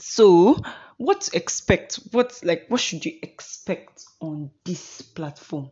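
A woman speaks with a Nigerian accent at a fairly low pitch. Her intonation is lively, with big swings in loudness. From Imo State, Nigeria. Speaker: podcast host, law student. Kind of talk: solo podcast monologue, casual. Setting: home recording, Kaduna. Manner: talkative, deliberately paced not too fast or slow.

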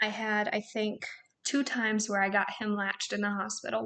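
A woman at medium pitch talks at a fairly quick pace in a monotone, flat way, her tone bright and sharp. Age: 20s. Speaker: nurse. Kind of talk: casual chat.

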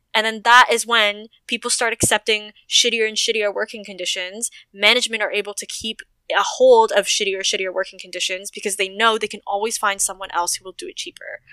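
A woman with a Canadian accent speaks at a fairly quick pace in a normal speaking voice, fairly high in pitch. Her intonation is fairly even, her loudness swings widely, and the sound is dry and close with no echo. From Toronto, Canada. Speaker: stripper and aerialist, sex worker activist. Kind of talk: casual chat. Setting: video call.

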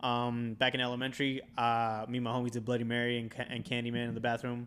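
A man at a medium pitch. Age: 20s. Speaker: podcast host. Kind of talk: casual chat.

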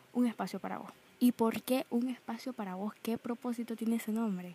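Dry and close with no echo, this woman's somewhat breathy voice has a dark, mellow tone, fairly high pitch, fairly even intonation and a moderate pace. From Nicaragua. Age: young. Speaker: podcaster. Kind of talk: casual monologue.

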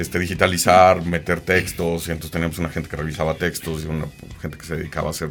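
A man's very deep, low voice, flat and monotone at a very fast pace, over music in the background. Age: 40s. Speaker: graphic designer and agency founder. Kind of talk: casual interview. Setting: studio.

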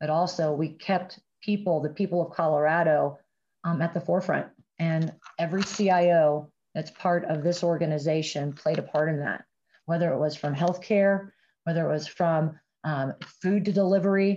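A woman with an American accent speaks at a moderate pace with a fairly low pitch, fairly even intonation and a dark, mellow tone. The background is quiet. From US Midwest, Ohio. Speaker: telecom sales executive. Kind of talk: interview.

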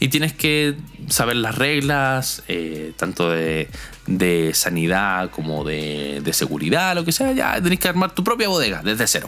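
Over noticeable background noise, a man with a Chilean accent speaks at medium pitch and a fairly slow pace. His pitch swings very widely. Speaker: logistics graduate and musician. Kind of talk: casual testimony.

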